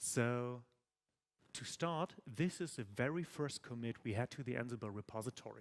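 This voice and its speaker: At a moderate pace, a man with an ordinary speaking voice and a medium pitch is heard in a dry, close recording with no echo. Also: ordinary pitch variation. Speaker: tech conference speaker. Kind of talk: conference talk. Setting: stage with audience.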